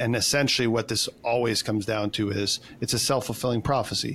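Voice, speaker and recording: A man talks fairly quickly, with vocal fry in his voice. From Canada. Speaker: personal development coach. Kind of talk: casual interview chat.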